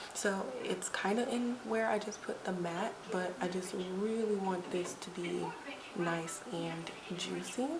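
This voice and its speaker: A woman speaks at a very slow pace in a soothing tone, at a medium pitch with ordinary pitch variation. Audible room echo and noticeable background noise surround her voice. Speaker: beauty vlogger. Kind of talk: tutorial. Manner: soft, soothing.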